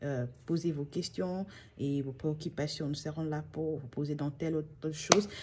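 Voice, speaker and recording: Very deep and low in pitch, a woman speaks at a fairly slow pace. Her intonation stays fairly even. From DR Congo. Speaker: channel host. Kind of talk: vlog monologue. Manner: halting.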